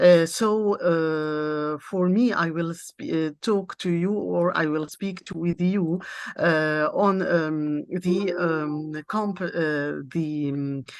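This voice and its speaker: The speaker has an Arabic accent and a very slow pace. Pitch variation is ordinary, with hardly any pauses. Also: woman, fairly low pitch for a woman. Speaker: university lecturer and interpreter. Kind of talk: conference presentation. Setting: international seminar. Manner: halting, many hesitations.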